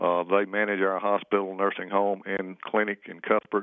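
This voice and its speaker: Monotone, flat intonation at a moderate pace. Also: man. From southwest Georgia. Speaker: small-town mayor.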